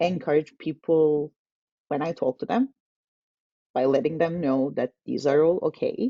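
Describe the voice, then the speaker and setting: Intonation is lively. The speaker has a Turkish accent. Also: woman. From Turkey. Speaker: tech community manager. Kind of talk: casual interview webinar.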